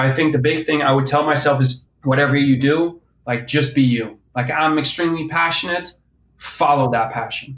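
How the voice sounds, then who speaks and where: This is a man with an ordinary speaking voice, pitched fairly high. He keeps a moderate pace and fairly even intonation. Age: 20s. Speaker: strength and conditioning coach. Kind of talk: casual interview. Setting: phone or remote call.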